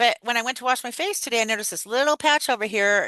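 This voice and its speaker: Loud and animated, a woman speaks at a fairly quick pace with a bright, sharp tone in a dry, close sound with no echo over a quiet background. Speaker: wellness podcast co-host. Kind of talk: casual chat.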